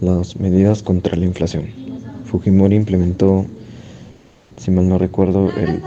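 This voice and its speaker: Against noticeable background noise, a man with a very deep, low voice speaks with fairly even intonation. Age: 60s. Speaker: interviewee. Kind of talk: interview. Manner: halting.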